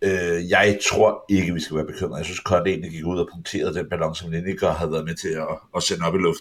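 A man with a very deep, low pitch, a very fast pace, hardly any pauses and monotone, flat intonation. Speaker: football podcast co-host. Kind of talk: casual chat.

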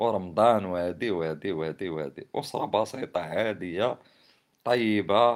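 A man speaks fairly slowly in an animated tone. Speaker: poet and commentator. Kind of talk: casual monologue.

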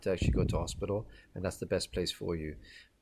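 A man with an Irish accent talks at a very fast pace in a somewhat breathy, dark, mellow tone. His pitch varies in an ordinary way. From Ireland. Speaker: fundraising manager. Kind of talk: casual chat.

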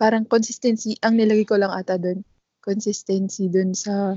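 The pitch here is fairly high. It belongs to a woman. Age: 20s. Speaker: podcast co-host and physical therapist. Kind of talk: casual chat.

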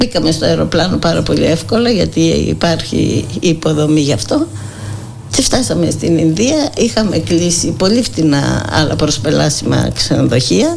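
The woman speaks fairly slowly at a very even loudness. Audible room echo and noticeable background noise are present. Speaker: psychotherapist and volunteer. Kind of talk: radio interview.

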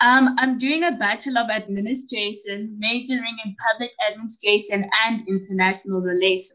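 With a South African accent, a woman speaks in a bright, sharp voice at a fairly high pitch and a moderate pace. She has ordinary pitch variation and hardly any pauses. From South Africa, Pretoria. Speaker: college student and podcaster. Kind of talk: casual interview chat. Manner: excited, enthusiastic.

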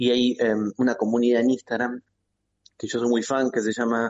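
A man is talking in a normal speaking voice. His pace is moderate. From Buenos Aires province, Argentina. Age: 40s. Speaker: philosopher and journalist. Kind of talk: interview. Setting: phone call.

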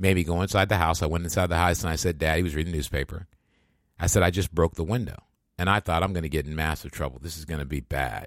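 Vocal fry runs through this very fast speech, captured in a very clean recording against a silent background. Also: man, very deep, low pitch for a man, ordinary pitch variation. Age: 50s. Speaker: podcast host. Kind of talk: casual chat.

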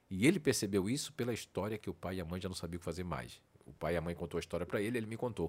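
Lively intonation and big swings in loudness mark a man's very fast speech at a very deep, low pitch, on a very clean recording with a silent background. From Northeast Brazil. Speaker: personality researcher and coach, former radio host. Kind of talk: podcast interview. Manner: talkative.

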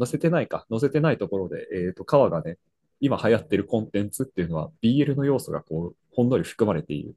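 Very fast and heard in a dry, close recording with no echo, a man with a medium-pitched voice and a dark, mellow tone uses vocal fry, very wide pitch swings and big swings in loudness. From Brazil. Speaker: podcast co-host, office worker. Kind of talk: casual chat.

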